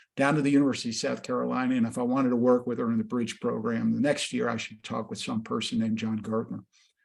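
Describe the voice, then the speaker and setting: A man talking at a very fast pace. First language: not English. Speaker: education nonprofit executive and interviewer. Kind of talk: webinar interview, personal introduction. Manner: hesitant, many fillers.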